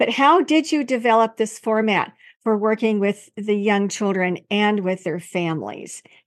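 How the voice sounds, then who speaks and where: A woman with an unremarkable speaking voice talks at a moderate pace over a quiet background. Her pitch is fairly high, with ordinary variation. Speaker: podcast host, speech-language pathologist. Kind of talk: interview.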